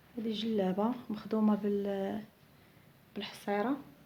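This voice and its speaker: Her voice medium in pitch, a woman speaks with monotone, flat intonation. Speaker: seamstress. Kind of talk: product showcase. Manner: halting.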